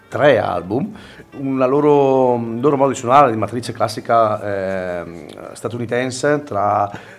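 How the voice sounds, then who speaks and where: A man at a very slow pace and medium pitch, ordinary pitch variation, with noticeable background noise. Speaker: web radio music show co-host. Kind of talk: casual radio chat presenting music.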